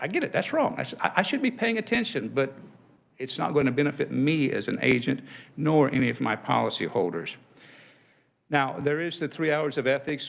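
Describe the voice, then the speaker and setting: A man with a fairly high pitch, vocal fry, and lively intonation at a moderate pace. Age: 60s. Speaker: insurance agent. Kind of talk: legislative testimony.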